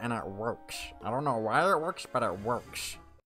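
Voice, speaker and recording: Clear music plays in the background as a gruff, put-on character voice speaks in a playful tone at a moderate pace. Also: man, medium pitch for a man. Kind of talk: casual gaming commentary. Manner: playful impression.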